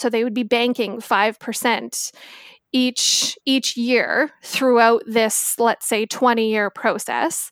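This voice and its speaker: Very slowly, a woman with a western Canadian accent talks in a monotone, flat intonation, the sound dry and close with no echo. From Victoria, British Columbia, Canada. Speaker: personal finance guest, mother of four. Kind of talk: casual chat.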